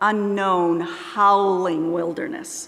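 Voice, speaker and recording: A woman speaks very slowly in a fairly high voice. Room echo is audible. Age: 70s. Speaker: lay speaker at church service. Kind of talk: sermon.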